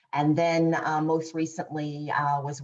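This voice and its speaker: In a Boston accent, a woman with a very deep, low pitch speaks at a fairly slow pace with monotone, flat intonation. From Boston, Massachusetts. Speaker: corporate insights executive. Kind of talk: panel discussion.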